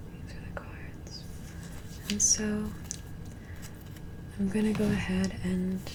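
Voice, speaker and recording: A woman whispers at a very slow pace, with long, frequent pauses, big swings in loudness, and noticeable background noise. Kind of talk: ASMR tarot reading. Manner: soft-spoken.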